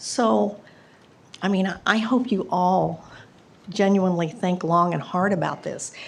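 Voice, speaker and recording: With audible room echo around her, a woman with an American accent speaks fairly slowly at a medium pitch, with vocal fry and ordinary pitch variation. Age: 70s. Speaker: resident speaking at public hearing. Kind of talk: public comment. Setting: council meeting at podium.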